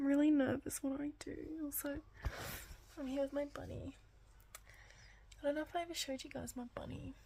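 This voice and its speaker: Speaking at a fairly quick pace, a woman leaves long, frequent pauses. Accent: Australian. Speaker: vlogger. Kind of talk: casual video diary. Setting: at home at night; hospital ward.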